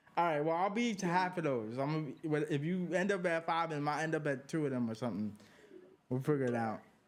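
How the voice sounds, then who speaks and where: An American accent marks this man's speech. He talks at a very fast pace with lively intonation. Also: fairly high pitch for a man, very even loudness. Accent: New York accent, noted by Southerners. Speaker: sports and culture podcast host. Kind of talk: casual chat.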